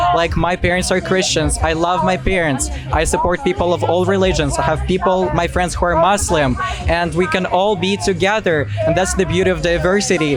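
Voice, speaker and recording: With a non-native accent, a man talks at a fairly quick pace and very even loudness. Music plays behind him. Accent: foreign. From outside the US. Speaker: student. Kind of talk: street debate.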